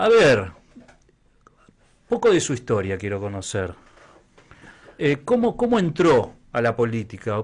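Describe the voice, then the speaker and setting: Long pauses come often in this rather unhurried speech. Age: 40s. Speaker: radio host. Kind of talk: radio interview.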